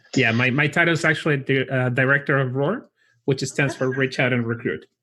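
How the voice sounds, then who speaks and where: In a Chilean accent, a man with a medium pitch and a bright, sharp tone talks at a fairly quick pace with fairly even intonation and very even loudness, on a very clean recording with a silent background. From Chile (Santiago). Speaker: college recruiter for chiropractic school. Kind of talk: interview.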